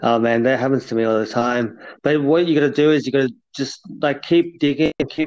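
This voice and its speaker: A man with an ordinary speaking voice talks at a moderate pace, with hardly any pauses. His pitch is fairly high, with ordinary pitch variation. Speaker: podcast co-host. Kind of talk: casual chat. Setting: phone call.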